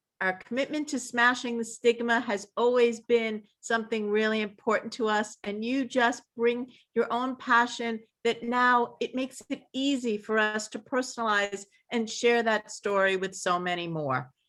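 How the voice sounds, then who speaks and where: A woman's fairly high voice at a moderate pace, with fairly even intonation. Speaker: event organizer. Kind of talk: closing remarks at online panel. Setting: video call.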